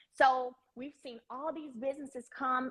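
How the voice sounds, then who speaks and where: A woman's high-pitched voice with a Southern US accent. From Alabama. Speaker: live stream host. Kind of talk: live stream chat. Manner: animated, enthusiastic.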